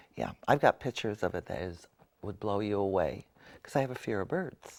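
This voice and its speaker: In an ordinary speaking voice, the speaker moves at a fairly quick pace with lively intonation, on a very clean recording with a silent background. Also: man, fairly low pitch for a man. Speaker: interview show host. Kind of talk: casual interview talk.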